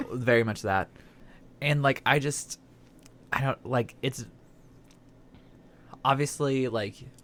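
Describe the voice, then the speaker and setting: The speech moves at a very slow pace, with an American accent. Long, frequent pauses break it up. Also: man, medium pitch for a man, fairly even intonation. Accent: slight Southern, stronger when stressed. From Southern Indiana. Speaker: podcast host. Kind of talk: casual chat.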